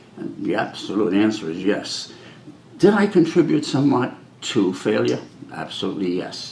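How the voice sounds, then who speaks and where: In a room with audible echo, a man with an American accent speaks at a moderate pace. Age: 70s. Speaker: fire commissioner candidate. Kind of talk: interview.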